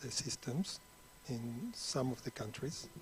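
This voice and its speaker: Clearly audible background noise accompanies a man talking at a moderate tempo. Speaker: energy finance consultant. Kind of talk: panel discussion. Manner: halting, many repetitions.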